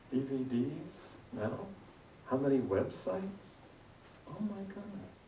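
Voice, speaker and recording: A man at medium pitch swings his voice very widely, with audible room echo and noticeable background noise. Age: 60s. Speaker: guest minister. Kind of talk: sermon. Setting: church. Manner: interactive, conversational.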